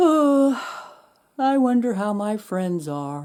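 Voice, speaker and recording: A put-on character voice, female-sounding and fairly high-pitched for a woman, swings very widely in pitch. The delivery moves at a very slow pace. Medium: read story.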